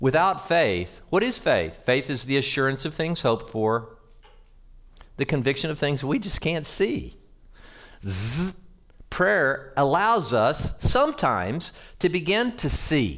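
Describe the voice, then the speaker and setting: With an American accent, a man talks at a fairly slow pace in a fairly high voice, using very wide pitch swings and vocal fry. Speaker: pastor. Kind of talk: sermon. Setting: church.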